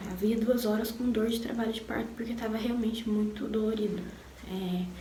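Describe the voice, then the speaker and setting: Noticeable background noise sits behind a woman speaking at a fairly high pitch with fairly even intonation. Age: 20s. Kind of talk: personal story told to camera. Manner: casual, emotional.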